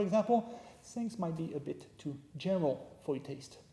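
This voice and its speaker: A man with a high voice and a French accent speaks with lively intonation. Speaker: history professor. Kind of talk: lecture. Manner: casual, joking.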